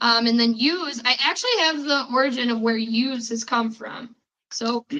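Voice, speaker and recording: A woman with a high-pitched voice speaks in a strong Chicago accent, her intonation fairly even. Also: moderate pace. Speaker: podcast host. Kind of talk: casual chat.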